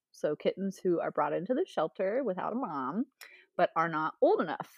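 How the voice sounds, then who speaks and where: The speaker has a Midwestern American accent and very wide pitch swings. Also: woman. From Ohio, US. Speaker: chemist and PhD candidate. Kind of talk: casual chat. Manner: animated.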